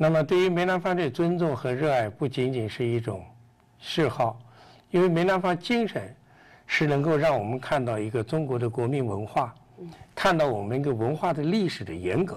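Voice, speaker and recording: A man at a moderate pace, fairly high in pitch, with lively intonation. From China, Yunnan. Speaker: interviewee. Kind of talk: interview. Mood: earnest, reflective. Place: studio. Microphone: lapel.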